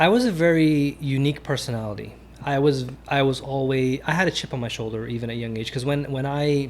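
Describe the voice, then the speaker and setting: A man talks at a very fast pace, with audible echo from the room. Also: fairly high pitch for a man, ordinary pitch variation. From Caribbean (Trinidad and Tobago), raised in Queens, New York. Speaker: venture investor. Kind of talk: podcast interview. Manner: casual, repetitive restarts.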